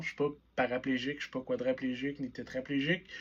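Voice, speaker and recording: A man's fairly high voice with a Quebec accent, at a moderate pace. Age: 20s. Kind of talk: personal vlog monologue. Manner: casual, conversational.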